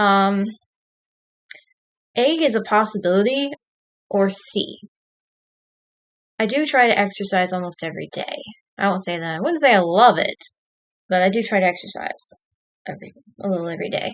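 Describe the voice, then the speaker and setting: Using a Southern US accent, a woman at a medium pitch speaks at a moderate pace with lively intonation and long, frequent pauses. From Texas. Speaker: streamer. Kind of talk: casual live stream chat, reading quiz questions. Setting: home live stream at computer with camera.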